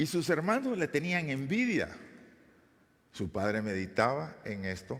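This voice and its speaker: Over audible room echo, a man talks at a fairly slow pace with very wide pitch swings. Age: 60s. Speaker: pastor. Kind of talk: sermon. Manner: halting.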